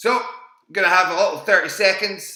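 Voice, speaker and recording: A man speaks in an animated, bright and sharp tone with ordinary pitch variation, and the room echo is audible. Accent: Scottish. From Scotland. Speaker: quiz host. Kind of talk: live online quiz hosting. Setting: live stream from home.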